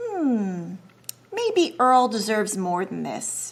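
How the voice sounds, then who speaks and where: A woman performs a put-on character voice with a fairly high pitch. She talks at a very slow pace. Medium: read story. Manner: gentle, musing.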